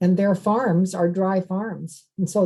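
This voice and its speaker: Somewhat breathy, a woman speaks at medium pitch in a monotone, flat intonation. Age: 70s. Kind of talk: podcast interview. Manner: conversational, with fillers and repetitions.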